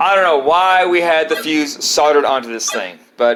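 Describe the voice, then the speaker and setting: A man speaks with an American accent. Music plays behind him. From United States. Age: 50s. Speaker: retro video game collector. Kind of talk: casual show-and-tell video. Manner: rambling, repetitive, halting.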